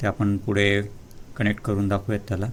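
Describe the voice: This is a man speaking. His pitch sits fairly low.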